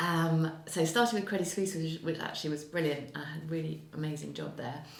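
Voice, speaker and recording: In an English accent, a woman talks at a fairly quick pace with a very deep, low pitch and ordinary pitch variation, with audible room echo and noticeable background noise. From England. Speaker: financial services executive. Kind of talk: interview. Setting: on location in Geneva. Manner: hesitant, many fillers.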